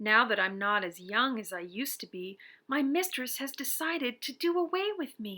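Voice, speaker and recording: A woman's put-on character voice, high-pitched, at a moderate pace, in a very clean recording with a silent background. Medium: read story.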